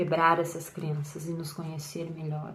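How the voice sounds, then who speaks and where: There is audible room echo around this woman's voice. She sounds somewhat breathy. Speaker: tarot reader and content creator. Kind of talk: personal monologue to camera. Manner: hesitant, with repetitions and fillers.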